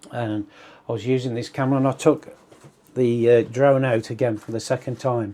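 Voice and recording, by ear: Speaking at a medium pitch, a man has a dark, mellow tone and fairly even intonation.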